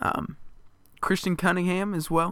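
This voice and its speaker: A man's bright, sharp voice at a moderate pace, flat and monotone in intonation, in a very clean recording with a silent background. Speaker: sports podcast host. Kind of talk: casual solo sports talk. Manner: frequent filler 'uh' hesitations.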